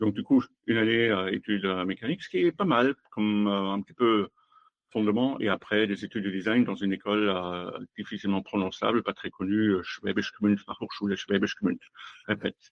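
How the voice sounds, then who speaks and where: A man with a German accent, fairly low in pitch, at a moderate pace with fairly even intonation. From Germany. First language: German (speaking French). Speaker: automotive design executive. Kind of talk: interview. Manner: halting.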